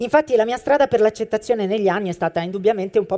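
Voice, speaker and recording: The woman's voice sits fairly high in pitch yet carries a dark, mellow tone. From Apulia, southern Italy. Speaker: stage and television actress. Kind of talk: scripted live monologue. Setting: stage with audience.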